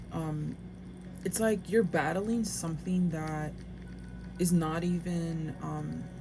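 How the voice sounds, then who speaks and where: A woman's voice with audible room echo. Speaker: tarot reader. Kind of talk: tarot reading. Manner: halting.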